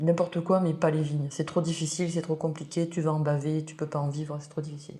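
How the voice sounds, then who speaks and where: Speaking at a fairly quick pace, a woman has a very deep, low pitch and a dark, mellow tone. Her voice is somewhat breathy, with monotone, flat intonation. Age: 60s. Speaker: winemaker. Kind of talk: interview.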